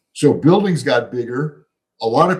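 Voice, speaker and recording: A man's fairly high, somewhat breathy voice with lively intonation and an American accent. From US Midwest, Chicago. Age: 70s. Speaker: economist and author. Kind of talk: podcast interview.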